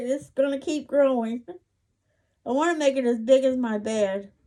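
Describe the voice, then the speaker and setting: This is a woman with a high-pitched voice. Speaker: crochet vlogger. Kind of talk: casual show-and-tell vlog. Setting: bedroom at home. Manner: slow; halting.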